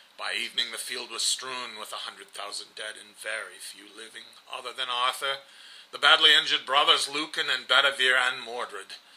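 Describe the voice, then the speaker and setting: Noticeable noise fills the background. Against it, a man talks at a moderate rate. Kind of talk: storytelling narration.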